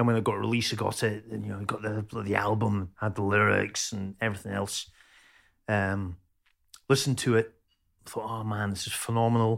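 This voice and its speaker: A man with a Scottish accent speaks in a fairly low, monotone voice with flat intonation, on a very clean recording with a silent background. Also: moderate pace. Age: 50s. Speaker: chef and metal musician. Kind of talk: casual chat. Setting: at home, cooking dinner during recording.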